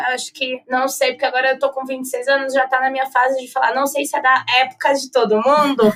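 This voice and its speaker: A woman speaks in a raised, projected voice at a high pitch. Her tone is bright and sharp, her pace fairly quick. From Brazil, Campinas (São Paulo state). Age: 20s. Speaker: advertising professional. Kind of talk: podcast interview. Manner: talkative.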